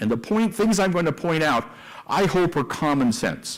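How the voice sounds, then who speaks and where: The tone is animated. Intonation rises and falls in a lively way. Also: man. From US West, East Los Angeles. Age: 70s. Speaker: investment banker and company executive. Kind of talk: conference talk.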